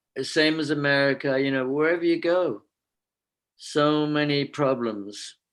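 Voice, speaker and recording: A man's fairly high pitch at a very slow pace, with very even loudness and long, frequent pauses. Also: ordinary pitch variation. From England, London. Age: 70s. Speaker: spiritual teacher. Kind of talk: lecture. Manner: halting.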